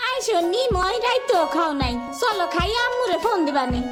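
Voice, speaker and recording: A woman performs a cartoonish character voice at an extremely high pitch and a moderate pace. Loud music plays in the background. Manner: homely, scolding.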